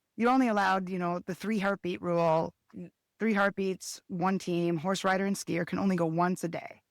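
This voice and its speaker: A woman with a plain, everyday voice speaks fairly quickly at a medium pitch, with fairly even intonation and a dry, close sound with no echo. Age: 50s. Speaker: skijoring race organizer and competitor. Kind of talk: podcast interview.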